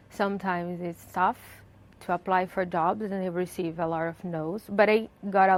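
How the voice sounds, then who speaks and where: A woman in a Brazilian Portuguese accent keeps her intonation fairly even. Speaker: journalist. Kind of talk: interview. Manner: hesitant, with fillers.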